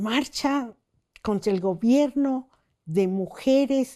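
Over a quiet background, a woman with a dark, mellow tone speaks at a very slow pace with lively intonation. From Mexico City. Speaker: feminist human rights lawyer. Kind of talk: interview testimony.

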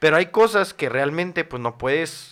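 The recording is very clean with a silent background, and a man's pitch swings very widely as he talks. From Mexico City. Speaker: content creator. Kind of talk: casual chat. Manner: halting.

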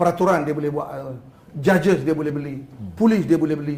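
The speaker is a man. His delivery moves at a fairly quick pace. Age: 60s. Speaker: politician. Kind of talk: talk show interview. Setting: studio.

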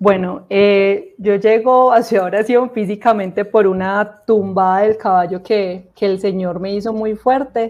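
Speaking at a fairly slow pace with hardly any pauses, a woman uses a medium-pitched voice and fairly even intonation. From Colombia, Armenia (Quindío), coffee region. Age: 30s. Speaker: guest giving religious testimony. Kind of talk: faith testimony interview. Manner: hesitant fillers and repetitions.

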